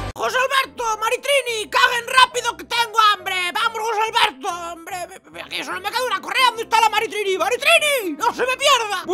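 An extremely high-pitched, put-on character voice. It moves at a fairly quick pace. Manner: impatient, shouting.

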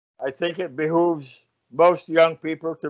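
A man talks at a fairly high pitch and a fairly slow pace against a quiet background. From Jamaica. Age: 80s+. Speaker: philanthropist and community activist; guest. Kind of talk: interview about his memoir. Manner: hesitant, many filler sounds. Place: home room.

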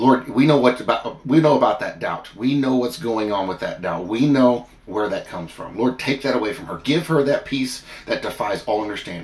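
Ordinary pitch variation runs through a man's fairly quick speech. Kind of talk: fervent prayer addressed to God. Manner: earnest, pleading, heartfelt; animated, storytelling with comic asides. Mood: earnest, fervent. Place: home room. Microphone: phone near.

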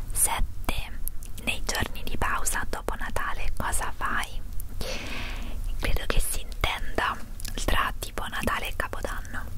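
Against loud background noise, a woman talks at a fairly slow pace with long, frequent pauses, her sound dry with no echo. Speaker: vlogger. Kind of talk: ASMR whispered vlog, tag video answering questions. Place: home room. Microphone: handheld.

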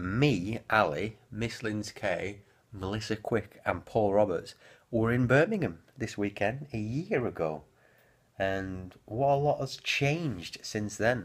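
Against a quiet background, a man with a fairly low pitch speaks at a fairly slow pace. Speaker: vlogger. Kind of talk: casual vlog chat. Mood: relaxed, playful. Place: home room. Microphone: phone near.

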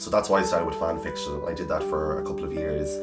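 A man talks at a very fast pace with clear music playing in the background. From Ireland, County Cavan. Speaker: author. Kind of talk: interview answer. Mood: warm, self-deprecating, animated. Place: home room.

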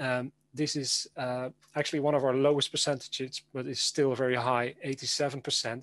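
A man with a Dutch accent in a flat monotone, recorded with a dry sound and no echo. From Netherlands. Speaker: educator. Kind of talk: conference presentation. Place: home room. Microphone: webcam.

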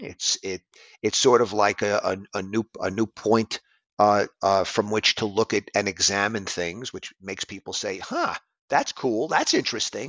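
A man with a normal speaking voice talks in an American accent at a moderate pace. His pitch is fairly low and his intonation fairly even. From US, New York City. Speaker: jazz drummer and bandleader. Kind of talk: interview.

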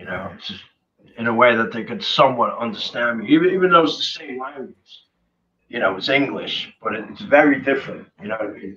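Over light background noise, a man with an American accent speaks at a fairly quick pace in a bright, sharp tone, with very wide pitch swings and big swings in loudness. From US, New Jersey. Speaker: punk singer; interview guest. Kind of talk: interview. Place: home room. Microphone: video call.

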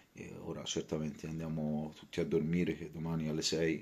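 Quiet and very deep, a man's low-pitched voice moves at a moderate pace. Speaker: football fan vlogger. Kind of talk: post-match fan reaction. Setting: at home late at night. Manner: speaking quietly; halting, repetitive. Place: home room. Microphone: phone near.

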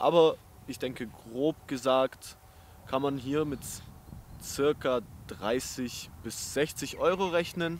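This man talks at a medium pitch with ordinary pitch variation.

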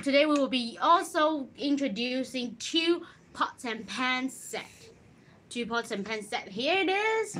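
The voice is raised and projected, with very wide swings in pitch. Delivery is fairly slow over light background noise. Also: woman. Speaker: presenter. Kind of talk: casual livestream product talk. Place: shop. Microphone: phone near.

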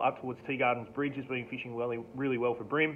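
At a fairly quick pace, a man holds a medium pitch with little pitch movement.

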